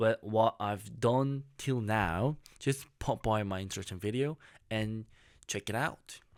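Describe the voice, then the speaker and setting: On a very clean recording with a silent background, a man with a Korean accent speaks at a fairly slow pace and a fairly low pitch, with ordinary pitch variation. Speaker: YouTuber. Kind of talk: casual vlog monologue. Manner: halting.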